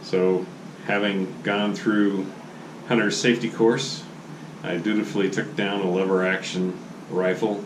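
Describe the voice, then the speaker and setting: A man with an American accent talks at a fairly slow pace in a very deep, low voice with fairly even intonation. Noticeable background noise can be heard. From Oregon, USA. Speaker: grandfather telling family stories. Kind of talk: oral history storytelling. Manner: casual, conversational.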